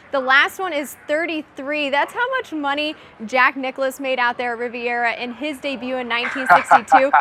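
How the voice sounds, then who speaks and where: A raised, projected voice moves at a fairly quick pace over noticeable background noise. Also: woman. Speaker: sports reporter and host. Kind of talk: studio sports news presenting. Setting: studio.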